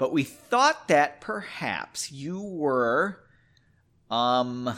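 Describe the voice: This man uses a put-on character voice at medium pitch, bright and sharp in tone, with big pitch swings. He talks very slowly on a very clean recording with a silent background.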